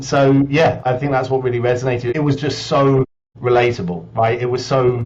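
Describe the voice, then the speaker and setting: The speaker is a man with medium pitch. His voice is somewhat breathy. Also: fairly even intonation, very even loudness. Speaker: business executive. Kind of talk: podcast interview. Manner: fast.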